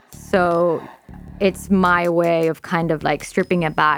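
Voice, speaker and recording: A woman speaks with an American accent at a fairly low pitch. Music plays in the background. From Texas, Laredo. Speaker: electronic music producer. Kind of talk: radio interview. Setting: studio.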